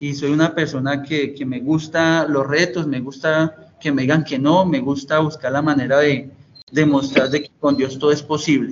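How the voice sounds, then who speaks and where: This man's voice is fairly high in pitch. He speaks at a moderate pace with flat, monotone intonation. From Colombia, Tolima (Ibagué). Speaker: director of a youth detention and rehabilitation center. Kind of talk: interview. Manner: halting, many fillers and repeats; formal.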